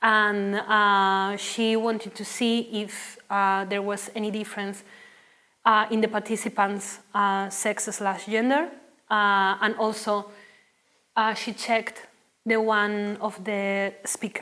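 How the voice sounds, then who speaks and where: A woman's bright, sharp voice at medium pitch with a Spanish accent, monotone and flat in intonation, at a very slow pace. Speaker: linguistics researcher. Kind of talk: academic talk Q&A. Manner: halting, many fillers.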